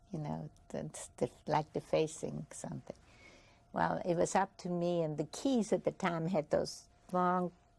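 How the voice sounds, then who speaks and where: A woman speaks in an Austrian accent. Her pace is fairly slow. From Vienna, Austria. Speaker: Holocaust survivor. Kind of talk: testimony interview. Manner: halting.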